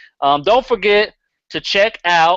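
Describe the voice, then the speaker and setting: Speaking at a fairly slow pace, a man with a Southern US accent has a high pitch. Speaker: podcast host. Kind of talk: casual chat. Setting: live stream.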